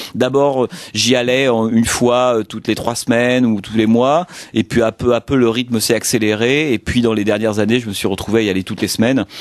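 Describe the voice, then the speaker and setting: The man talks at a fairly quick pace. His pitch is medium, with fairly even intonation. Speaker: film critic and radio columnist. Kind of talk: interview. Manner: fast; hesitant, many fillers.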